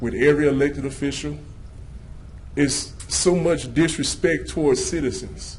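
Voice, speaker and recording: A man at a moderate pace, with audible room echo. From Louisiana. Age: 30s. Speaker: citizen speaker at public comment. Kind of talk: public comment speech. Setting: city council meeting. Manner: animated.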